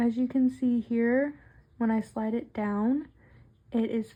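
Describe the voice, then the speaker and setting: A woman's somewhat breathy voice, dark and mellow in tone, at a fairly slow pace. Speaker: nail tutorial creator. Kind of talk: tutorial. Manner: casual, conversational.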